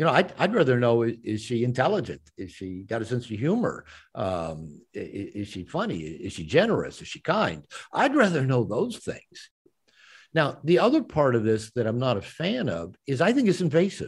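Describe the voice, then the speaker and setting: A man at a moderate pace, with vocal fry and very wide pitch swings, on a very clean recording with a silent background. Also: medium pitch for a man. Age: 60s. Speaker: author and men's coach. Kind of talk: interview. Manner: halting, repeats words.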